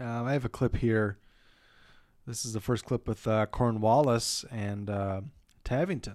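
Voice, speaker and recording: A man with an American accent mumbles at a fairly slow pace and a medium pitch, with long, frequent pauses. His intonation is fairly even, and the recording is very clean with a silent background. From Minnesota, outstate. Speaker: movie podcast co-host. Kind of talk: casual chat. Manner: mumbling.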